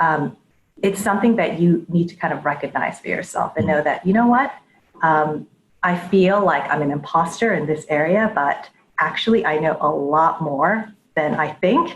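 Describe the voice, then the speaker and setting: This woman has an American accent and a fairly low, somewhat breathy voice. She talks at a moderate pace with lively intonation. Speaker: head of data and analytics. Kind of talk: interview before live audience. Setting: live audience event.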